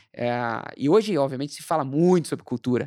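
A man with an unremarkable speaking voice talks at a fairly quick pace, his fairly high pitch moving in lively intonation, in a very clean, dry, close recording with no echo and a silent background. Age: 40s. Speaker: marketing executive and entrepreneur. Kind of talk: casual interview.

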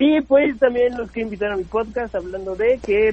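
A man speaks over noticeable background noise. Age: 20s. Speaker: stand-up comedian. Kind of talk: casual chat.

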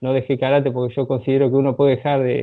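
Flat and monotone in intonation, the man speaks at a medium pitch. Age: 40s. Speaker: karate instructor. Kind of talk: interview. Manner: hesitant, many filler words.

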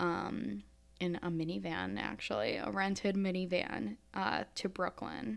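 With an American accent, a woman speaks at a fairly slow pace in a fairly low pitch with ordinary pitch variation, on a very clean recording with a silent background. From upstate New York. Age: 20s. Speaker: podcast host. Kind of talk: solo podcast monologue. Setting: home recording in apartment.

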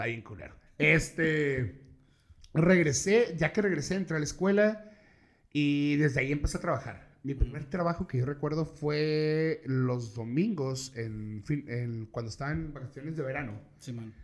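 In a normal speaking voice, this man's fairly high pitch rises and falls with lively intonation as he keeps a moderate pace. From Mexico, Tijuana. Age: 30s. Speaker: events promoter and podcaster. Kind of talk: casual chat.

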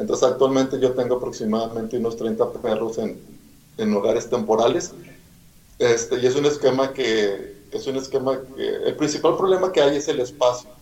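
The speaker is a man whose voice sits at a medium pitch. There is audible echo from the room. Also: ordinary pitch variation, moderate pace. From Mexico, Monterrey, Nuevo León. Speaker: animal rescuer. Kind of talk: interview.

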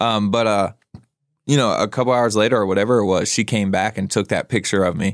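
A man talking at a very fast pace, with fairly even intonation and very even loudness, on a very clean recording with a silent background. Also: fairly low pitch for a man. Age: 20s. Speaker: guest in addiction recovery. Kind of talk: casual chat.

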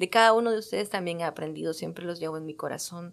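Her speech is captured in a very clean recording against total silence. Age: 30s. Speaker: podcast host. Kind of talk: personal monologue.

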